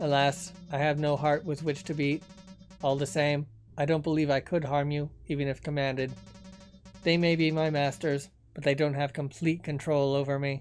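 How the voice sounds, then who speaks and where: In a put-on robotic character voice, a man speaks at a moderate pace and fairly high pitch while clear music plays behind him. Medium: solo performance. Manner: formal, eloquent.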